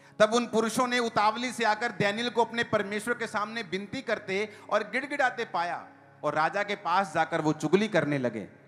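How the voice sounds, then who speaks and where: High-pitched male voice with ordinary pitch variation over background music. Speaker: preacher. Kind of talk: church sermon.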